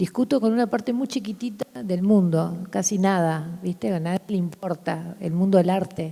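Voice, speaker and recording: A woman speaks at a moderate pace with hardly any pauses, her medium-pitched voice somewhat breathy. Her tone is dark and mellow, with ordinary pitch variation. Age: 60s. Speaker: artist. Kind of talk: public conversation. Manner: animated.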